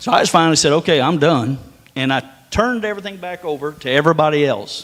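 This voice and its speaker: A man with an Appalachian accent talks at a very fast pace in an animated tone. His intonation is lively. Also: fairly high pitch for a man. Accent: hillbilly twang. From northern US. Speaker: preacher. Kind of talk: sermon.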